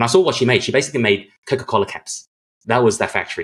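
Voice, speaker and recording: The speaker is a man with an Australian accent. His words come very fast. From Australia, Sydney. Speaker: guest telling life story. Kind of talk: interview.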